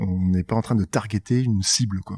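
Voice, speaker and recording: A somewhat breathy man with fairly even intonation is heard on a very clean recording with a silent background and a dry, close sound with no echo. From northern France, Nord (Tourcoing/Roubaix/Lille). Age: 40s. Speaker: startup co-founder. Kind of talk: interview conversation.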